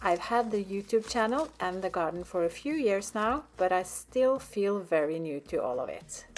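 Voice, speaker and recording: Here a woman speaks with a Norwegian accent at a moderate pace. Her pitch is fairly high, and her intonation is lively. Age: 50s. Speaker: gardening vlogger. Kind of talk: casual vlog narration. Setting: outdoors in garden.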